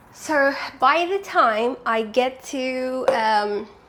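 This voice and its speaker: High female voice against noticeable background noise. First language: not English. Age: 20s. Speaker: vlogger. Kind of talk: casual vlog. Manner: chatty.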